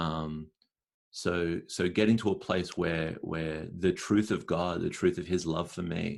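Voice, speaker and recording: In an Australian accent, a man speaks with a very deep, low pitch. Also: very clean recording, silent background. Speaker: spoken word poet and performer. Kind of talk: podcast interview answer.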